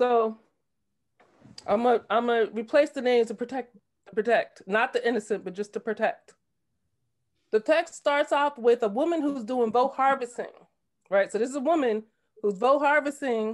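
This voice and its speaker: A woman with a high voice speaks with long, frequent pauses against a quiet background. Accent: New Jersey. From New Jersey. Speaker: political candidate. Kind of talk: discussion comment. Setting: video call. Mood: troubled, earnest. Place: home room. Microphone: video call.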